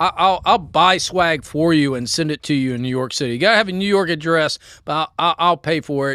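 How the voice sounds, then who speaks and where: A man with a Southern accent speaks in a fairly high-pitched, bright, sharp tone with ordinary pitch variation and hardly any pauses. The recording is very clean with a silent background and a dry, close sound with no echo. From US South, Memphis. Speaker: podcast co-host. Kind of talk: casual chat, whiskey tasting. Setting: outdoors on a porch. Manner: slow.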